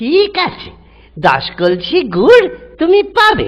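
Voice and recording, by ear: A cartoonish character voice with a fairly bright tone, very wide pitch swings and a slow pace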